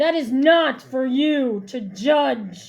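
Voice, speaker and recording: A woman performs a put-on character voice. It is high-pitched, with lively intonation. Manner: stern, dismissive.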